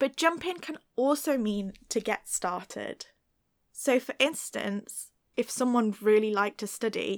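A woman with a British accent speaks at a fairly slow pace and a fairly high pitch. The recording is very clean with a silent background and a dry, close sound with no echo. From Britain. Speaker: English teacher. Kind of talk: tutorial. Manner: clear, measured.

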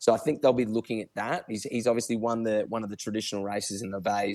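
A man with an Australian accent speaks at a fairly low pitch with ordinary pitch variation. The recording is very clean, with a silent background. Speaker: horse racing tipster. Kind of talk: casual chat.

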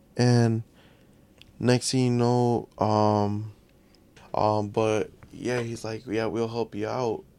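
Pausing long and often, a man speaks at a very slow pace in a monotone, flat intonation with a dark, mellow tone and an American accent. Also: medium pitch for a man. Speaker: podcast guest. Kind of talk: casual chat.

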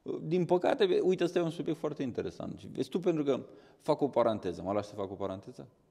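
A man with a fairly high pitch, a dark, mellow tone, and vocal fry, racing along very fast with very wide pitch swings. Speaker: dog trainer, runs a dog training school. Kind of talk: casual chat.

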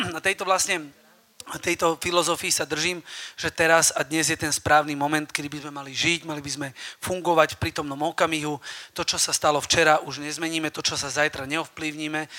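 A man talks loudly at a fairly quick pace with monotone, flat intonation. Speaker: personal trainer. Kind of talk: live talk to audience. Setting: stage with audience.

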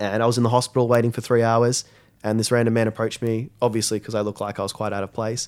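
In a very clean recording with a silent background, a man with an Australian accent talks very fast at medium pitch in a flat monotone. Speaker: school social media coordinator. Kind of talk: interview. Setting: studio.

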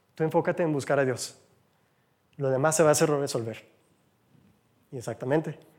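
On a very clean recording with a silent background, a man talks fairly quickly at a fairly high pitch. His intonation is fairly even, broken by long, frequent pauses. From United States. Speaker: lay church speaker. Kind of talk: sermon. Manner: conversational.

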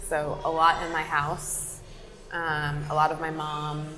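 Over music in the background, a woman with an American accent speaks in a very deep, low pitch with flat, monotone intonation and audible room echo. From New Jersey. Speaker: photographer and darkroom founder. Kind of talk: casual interview. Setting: coffee shop.

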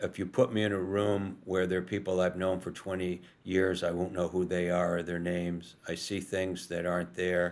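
On a very clean recording with a silent background, a man with a very deep, low voice and an American accent speaks in a monotone, flat intonation with hardly any pauses. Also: moderate pace. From New York, US. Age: 70s. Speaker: author and journalist living with Alzheimer's. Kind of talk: casual interview. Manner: halting, repeats words and stumbles.

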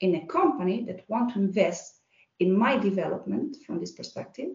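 Somewhat breathy, a woman's voice comes through. Her intonation is lively. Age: 40s. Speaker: HR manager. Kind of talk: casual interview.

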